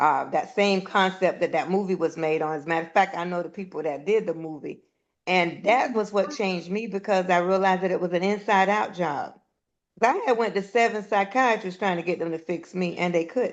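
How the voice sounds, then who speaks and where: A woman with an unremarkable speaking voice, medium in pitch with ordinary pitch variation, at a fairly quick pace. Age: 60s. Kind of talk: casual chat.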